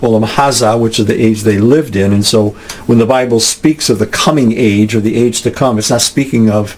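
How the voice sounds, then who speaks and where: A man with a medium pitch talks at a moderate pace and fairly even intonation against noticeable background noise. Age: 70s. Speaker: podcast host and author. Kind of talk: bible study teaching. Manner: halting, many fillers and restarts.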